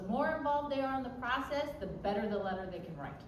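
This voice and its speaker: Her voice is a woman's, high in pitch. Audible room echo surrounds it. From US mainland, Japanese-American. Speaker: college admissions counselor. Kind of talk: workshop talk. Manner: fast; casual, direct.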